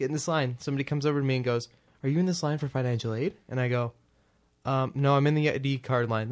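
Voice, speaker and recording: Very fast speech from a man with fairly high pitch, in a very clean recording with a silent background. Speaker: podcast host and college student. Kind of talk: casual chat. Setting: home recording. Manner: calm.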